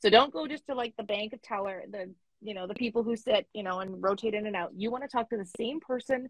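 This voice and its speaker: Speaking very fast with a Canadian accent, a woman has a fairly high, somewhat breathy voice. Her pitch varies in an ordinary way. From Canada. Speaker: money coach. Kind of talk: interview. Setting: online call.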